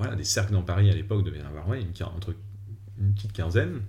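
Fairly even intonation carries a somewhat breathy voice. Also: man. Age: 30s. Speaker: former poker dealer. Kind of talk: personal storytelling interview.

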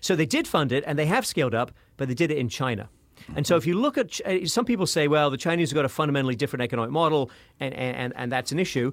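A man with a British accent at a very fast pace. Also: fairly high pitch for a man, lively intonation. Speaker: professor and author. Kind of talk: interview.

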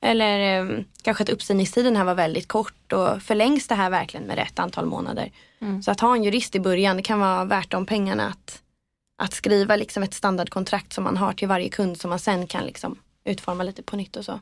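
This woman speaks at a fairly quick pace with a medium pitch and fairly even intonation. It is a normal speaking voice. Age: 20s. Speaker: PR agency co-founder. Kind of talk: interview. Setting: podcast studio.

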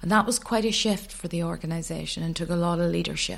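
In a Northern Irish accent, a woman with a fairly low pitch and a somewhat breathy voice speaks with ordinary pitch variation on a very clean recording with a silent background. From Northern Ireland, County Antrim. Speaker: addiction charity chief executive. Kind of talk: interview.

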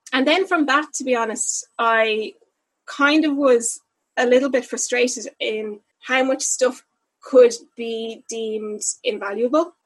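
A woman's high-pitched voice with a Dublin accent. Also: ordinary pitch variation. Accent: Dublin Irish. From Dublin, Ireland. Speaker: upcycling entrepreneur. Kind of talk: interview.

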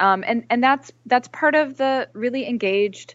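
A woman speaks at a fairly slow pace. Her voice is fairly high, with ordinary pitch variation. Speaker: author and journalist. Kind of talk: interview. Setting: remote call.

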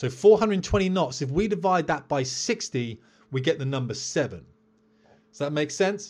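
Somewhat breathy, a man with a British accent speaks at a fairly high pitch with lively intonation. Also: quiet background. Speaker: military pilot and podcast host. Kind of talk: solo educational podcast. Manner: fast; staccato.

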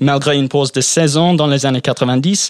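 Dry and close with no echo, a man's unremarkable speaking voice comes at fairly high pitch and a fairly slow pace. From England. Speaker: panelist. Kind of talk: casual chat.

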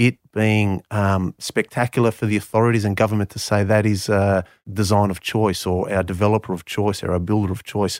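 On a very clean recording with a silent background and a dry, close sound with no echo, a man with an Australian accent talks at a moderate pace in a fairly low, monotone, flat voice, with hardly any pauses. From Canberra, Australia. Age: 40s. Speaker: property developer. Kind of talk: interview.

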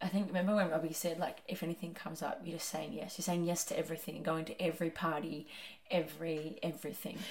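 Fairly low-pitched, somewhat breathy female voice at a very fast pace, with fairly even intonation. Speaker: podcast co-host. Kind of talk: casual chat.

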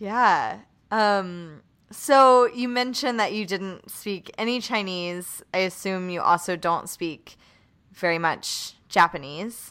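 On a very clean recording with a silent background, a woman with a medium pitch and a bright, sharp tone speaks at a very slow pace with ordinary pitch variation. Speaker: podcast host and nanny. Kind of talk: casual interview chat.

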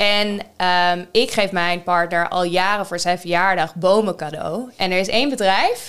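The recording is very clean, with a silent background. A woman with an ordinary speaking voice and medium pitch talks at a fairly slow pace, her intonation fairly even. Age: 30s. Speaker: podcast co-host. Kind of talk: casual chat.

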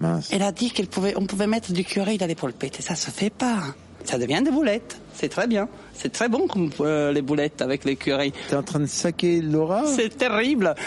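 A woman at a moderate pace, her pitch swinging very widely, with noticeable background noise. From southern Italy (Puglia). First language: Italian (speaking French). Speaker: cook. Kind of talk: casual chat.

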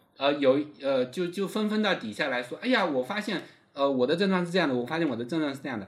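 A man speaks very fast, his voice fairly high for a man. His intonation is lively, and there is noticeable background noise. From China, Fujian. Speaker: political scientist, university postdoc lecturer. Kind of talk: casual interview conversation.

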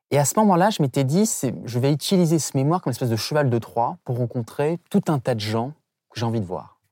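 Words come at a very fast pace in a very clean recording with a silent background. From Saint-Pierre-et-Miquelon. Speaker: semiologist and political communication expert. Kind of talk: interview.

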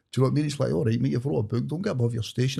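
The speaker has a west of Scotland accent and sounds somewhat breathy. The recording is very clean, with a silent background. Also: man. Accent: west of Scotland Scottish. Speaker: author. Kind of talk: interview conversation.

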